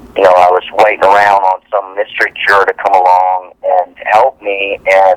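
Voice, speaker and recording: A man talks at a fairly slow pace in a fairly low pitch. The sound is dry and close with no echo, though background noise is noticeable. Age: 40s. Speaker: actor. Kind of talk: interview.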